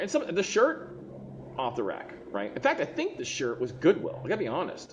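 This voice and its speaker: An animated tone with vocal fry, in an American accent. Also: man. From Texas. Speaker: online seller and designer. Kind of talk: live stream monologue. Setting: live video stream.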